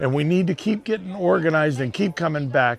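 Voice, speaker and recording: Lively intonation carries a voice speaking at a moderate pace over noticeable background noise. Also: man. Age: 60s. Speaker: war veteran. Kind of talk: interview. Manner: halting.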